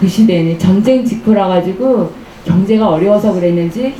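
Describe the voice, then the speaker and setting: Lively intonation marks a woman's medium-pitched voice, heard with audible room echo and noticeable background noise. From Korea, Gangneung (Gangwon east coast). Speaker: author. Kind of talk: book talk storytelling to audience. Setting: bookshop lounge with live audience. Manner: conversational with hesitations and fillers.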